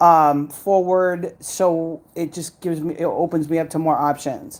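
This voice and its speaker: A woman talks at a fairly slow pace in a normal speaking voice. Her intonation stays fairly even. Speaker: custom tumbler and craft maker. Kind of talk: casual chat.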